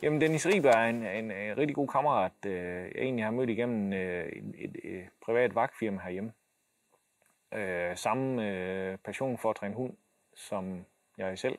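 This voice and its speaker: A man speaks at a medium pitch with ordinary pitch variation. The background is quiet. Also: fairly slow pace. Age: 40s. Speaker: military dog handler and dog trainer; dog trainer. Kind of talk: casual explanation to camera. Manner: halting, many fillers and repeated words. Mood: calm, matter-of-fact.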